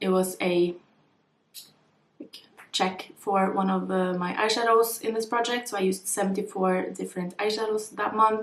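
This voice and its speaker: A woman talks at a fairly quick pace in a plain, everyday voice. Her medium pitch follows fairly even intonation. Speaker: beauty vlogger. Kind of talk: casual vlog talk.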